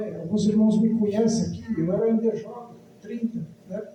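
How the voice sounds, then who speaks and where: There is audible room echo as a man with a high voice speaks at a moderate pace. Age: 60s. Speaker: preacher. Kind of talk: sermon.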